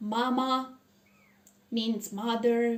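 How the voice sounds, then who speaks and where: This woman speaks at a very slow pace and a high pitch. Her pitch varies in an ordinary way. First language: Romanian. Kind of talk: personal testimony. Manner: halting, many pauses.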